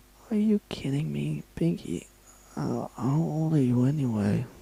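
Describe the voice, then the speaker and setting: Putting on a rumbling character voice, a man speaks at medium pitch and a moderate pace, swinging his pitch very widely. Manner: exasperated, grumbling.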